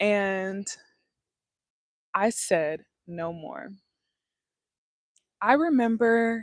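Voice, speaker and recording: A woman at medium pitch and a very slow pace, with ordinary pitch variation. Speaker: lifestyle livestreamer. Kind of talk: casual livestream talk.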